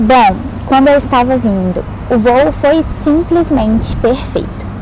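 Music plays in the background. A woman speaks with a fairly high pitch and ordinary pitch variation. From Brazil, Minas Gerais. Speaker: exchange student. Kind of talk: testimonial vlog.

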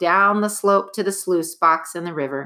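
The voice here is a natural reading voice.

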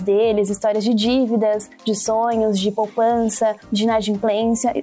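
A woman's fairly high-pitched voice, monotone and flat, at a moderate pace, with music in the background. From Brazil, São Paulo ABC region. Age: 20s. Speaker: social impact analyst. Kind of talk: interview.

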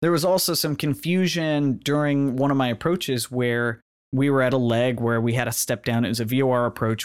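A man with an unremarkable speaking voice talks at a moderate pace and medium pitch. The recording is very clean, the background silent. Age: 30s. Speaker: podcast host, student pilot. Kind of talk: solo monologue podcast.

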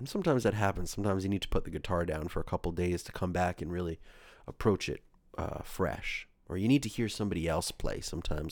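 A very fast man with an American accent and a very deep, low pitch, on a very clean recording with a silent background. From New York area. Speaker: solo podcaster and musician. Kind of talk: casual monologue. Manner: hesitant, many fillers.

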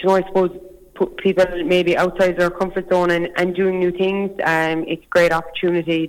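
A fairly quick delivery in a Cork accent. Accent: Cork Irish. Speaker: youth rural organisation chairperson. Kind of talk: phone interview. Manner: fluent, measured, with filler 'um'.

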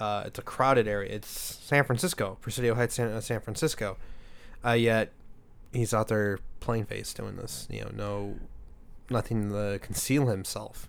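In a very clean recording with a silent background, a man with a fairly low pitch speaks at a moderate pace with fairly even intonation in an unremarkable speaking voice. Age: 20s. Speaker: podcast host. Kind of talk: casual chat.

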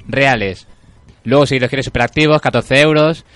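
A man speaks at a moderate speed in an unremarkable speaking voice, with ordinary pitch variation. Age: 20s. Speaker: radio host. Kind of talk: casual chat. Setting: studio.

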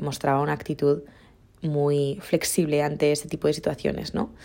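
A woman with a very deep, low pitch and a dark, mellow tone speaks at a moderate pace. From Mallorca, Spain. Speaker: podcaster. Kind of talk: casual monologue.

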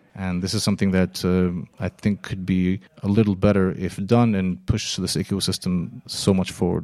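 In an American accent, a man with a very deep, low pitch and a dark, mellow tone speaks at a moderate pace with fairly even intonation. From Israel, partly raised in the US. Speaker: keynote speaker, marketing expert. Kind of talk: interview. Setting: improvised studio at a startup festival.

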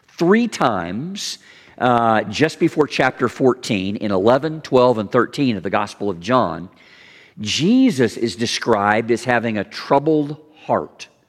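A man with a Southern US accent at a medium pitch, fairly slow and lively in intonation, on a very clean recording with a silent background. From US South, Kentucky/Tennessee border. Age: 50s. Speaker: pastor. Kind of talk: sermon. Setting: church.

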